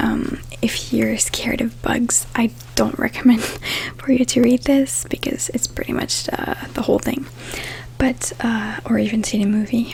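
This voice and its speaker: A soft-spoken woman at a fairly slow pace over noticeable background noise. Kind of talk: bedtime book summary reading.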